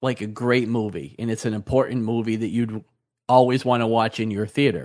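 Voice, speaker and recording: Against a quiet background, a man with an unremarkable speaking voice talks at a moderate pace and medium pitch, with ordinary pitch variation. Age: 50s. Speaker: podcast co-host, store owner. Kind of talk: casual chat.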